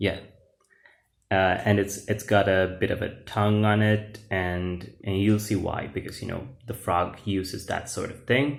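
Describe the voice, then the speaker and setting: In a Sri Lankan accent, a man speaks at a fairly slow pace and a fairly low pitch. Audible room echo surrounds his voice. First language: Sinhala. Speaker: YouTuber, comic book author and English teacher. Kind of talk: casual video walkthrough of own comic book. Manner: hesitant, many fillers.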